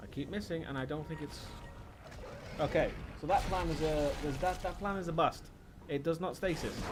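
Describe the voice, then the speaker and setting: Speech with a slight Welsh accent moves at a fairly quick pace, broken by long, frequent pauses. Audible room echo surrounds it. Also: man, fairly high pitch for a man. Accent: British, slightly Welsh. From Wales. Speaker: video game streamer. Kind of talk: live gameplay commentary. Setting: live stream. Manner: animated.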